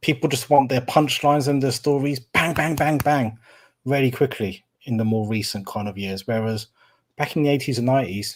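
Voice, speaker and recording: Here a man speaks at a fairly quick pace with medium pitch and ordinary pitch variation, in an ordinary speaking voice. The recording is very clean, its background silent. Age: 40s. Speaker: film review podcaster. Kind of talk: casual chat.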